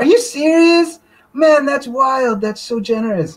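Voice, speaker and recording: A female-sounding voice puts on a character voice, pitched high and moving at a fairly slow pace. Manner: amazed, enthusiastic.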